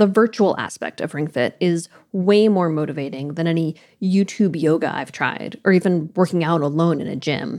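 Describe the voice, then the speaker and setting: A woman's fairly low-pitched, unremarkable speaking voice with lively intonation at a fairly quick pace. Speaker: audio producer and co-host. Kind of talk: scripted narration.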